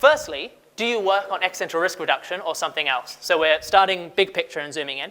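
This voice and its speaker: Delivered at a very fast pace, the raised, projected voice has a bright, sharp tone and lively intonation. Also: man, high pitch for a man. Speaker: conference speaker, research manager. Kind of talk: conference talk. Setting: stage with audience. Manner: casual.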